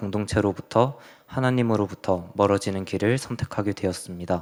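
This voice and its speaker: A man with a fairly low voice and an unremarkable speaking voice talks at a moderate pace with fairly even intonation, on a very clean recording with a silent background. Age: 20s. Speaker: church youth member giving mission report. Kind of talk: testimony. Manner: reading from prepared text.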